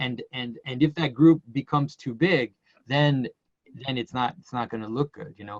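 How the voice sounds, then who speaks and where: A man with a Quebec accent at a moderate pace, big swings in loudness, in a dry, close sound with no echo. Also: medium pitch for a man, ordinary pitch variation. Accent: French Canadian accent in English. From Quebec, Canada. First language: French. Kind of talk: casual conversation. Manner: halting, many repetitions.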